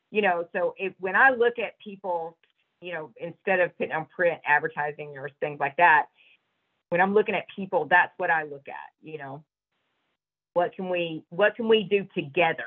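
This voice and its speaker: This woman has a fairly low voice and a Southern US accent. She talks at a moderate pace with ordinary pitch variation and big swings in loudness. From US South (Georgia). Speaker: business owner and horse rider. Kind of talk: interview.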